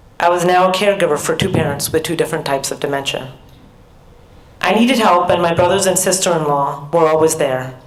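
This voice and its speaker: Someone with an American accent talks at a fairly quick pace with ordinary pitch variation, amid audible room echo and noticeable background noise. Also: woman. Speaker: professor. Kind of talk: keynote speech.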